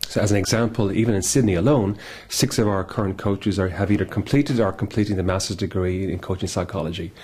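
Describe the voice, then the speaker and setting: A man with an Irish accent talks at a fairly quick pace in a fairly low voice with ordinary pitch variation. Noticeable background noise is present. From Ireland. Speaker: executive coach. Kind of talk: business self-introduction. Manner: hesitant fillers.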